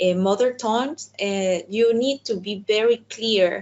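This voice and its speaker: In a Spanish accent, a woman with a medium pitch speaks at a fairly slow pace with ordinary pitch variation. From El Salvador. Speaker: diplomat. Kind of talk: webinar talk. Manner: halting, with many fillers and repetitions.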